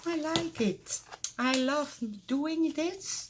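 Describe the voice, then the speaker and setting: Very slowly, a woman with a Dutch accent speaks, her pitch making very wide swings. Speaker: crafter. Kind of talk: casual show-and-tell tutorial. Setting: craft room at home. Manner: halting, many fillers.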